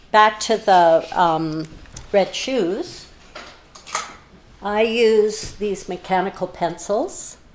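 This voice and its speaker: Very slowly and with long, frequent pauses, a woman with a Canadian accent speaks at a medium pitch with ordinary variation over noticeable background noise. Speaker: artist. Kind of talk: live stream craft demonstration. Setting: art studio. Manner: loud.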